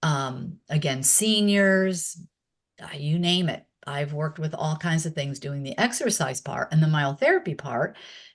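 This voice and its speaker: At a fairly slow pace, a woman speaks in a very deep, low, somewhat breathy voice with ordinary pitch variation. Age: 60s. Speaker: former exercise instructor and myotherapist. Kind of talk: interview. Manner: hesitant, many filler words.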